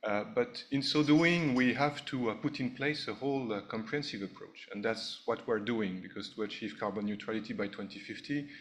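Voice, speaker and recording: A man speaks with a French accent at a fairly quick pace, using ordinary pitch variation and hardly any pauses. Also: medium pitch for a man. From France. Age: 50s. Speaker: ambassador, diplomat. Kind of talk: speech at a launch event. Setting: hotel ballroom event. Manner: hesitant with frequent uh fillers.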